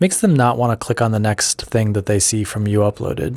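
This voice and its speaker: The voice is quiet, with ordinary pitch variation. The recording is very clean, with a silent background. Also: man. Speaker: YouTuber and podcaster. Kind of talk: solo podcast monologue. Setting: office.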